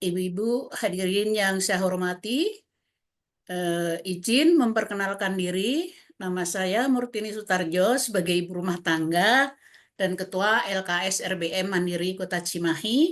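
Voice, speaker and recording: Against a quiet background, a woman of medium pitch talks at a fairly slow pace with ordinary pitch variation. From Central Java (Wonogiri). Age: 60s. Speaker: community social welfare organization leader. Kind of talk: webinar presentation. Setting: online webinar. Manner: hesitant, many fillers.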